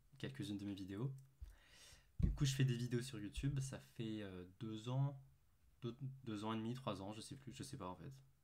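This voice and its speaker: The speaker is a man. His intonation is lively. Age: 20s. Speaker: calisthenics youtuber and student. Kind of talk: casual facecam vlog. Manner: hesitant, many fillers.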